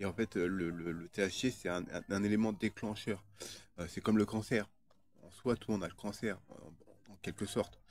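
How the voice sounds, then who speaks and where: A man with a fairly low voice speaks at a moderate pace and fairly even intonation, with big swings in loudness. The recording is very clean, with a silent background. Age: 30s. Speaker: video blogger. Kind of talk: casual monologue. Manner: halting, many fillers and repetitions.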